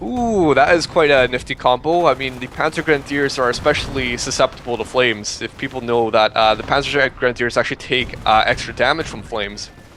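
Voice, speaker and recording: Over noticeable background noise, a man speaks at a fairly quick pace with hardly any pauses and ordinary pitch variation. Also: medium pitch for a man. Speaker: game commentator. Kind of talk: live commentary. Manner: fast; animated.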